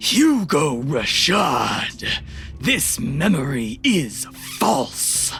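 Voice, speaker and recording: A put-on character voice moves very slowly with lively intonation. Clear music plays in the background. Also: man, fairly high pitch for a man. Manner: booming, bellowing.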